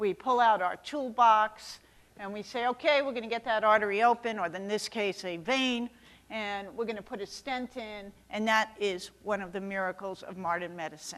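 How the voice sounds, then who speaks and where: A woman with a New York accent speaks with big swings in loudness. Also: fairly high pitch for a woman, ordinary pitch variation, moderate pace. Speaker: cardiologist. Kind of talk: keynote lecture. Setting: stage with audience. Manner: animated.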